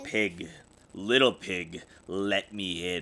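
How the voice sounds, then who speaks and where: In a put-on character voice, a man speaks with a very deep, low pitch and a raspy sound. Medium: read story. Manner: roaring, blustering.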